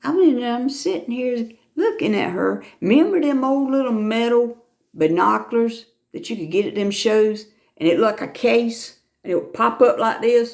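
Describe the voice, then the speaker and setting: With an American accent, a woman with a fairly high pitch speaks at a moderate pace using lively intonation. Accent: Southern with a bit of Lumbee. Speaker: YouTuber. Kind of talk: casual chat. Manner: animated.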